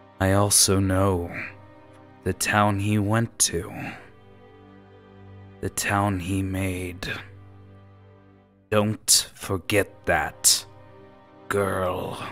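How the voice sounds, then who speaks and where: Over clear music in the background, a man uses a put-on character voice, fairly low-pitched, at a very slow pace with long, frequent pauses. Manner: menacing, imperious, condescending.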